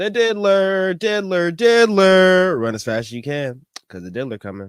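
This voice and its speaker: Speaking at a fairly slow pace, a man with an American accent swings his pitch very widely. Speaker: podcast host and musician. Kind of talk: casual commentary podcast. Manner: casual, slangy.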